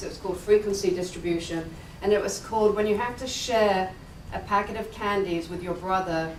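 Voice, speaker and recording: A woman with an English accent talks at a very fast pace and with fairly even intonation. Audible room echo and noticeable background noise surround her. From England. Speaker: analytics executive, keynote speaker. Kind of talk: conference keynote.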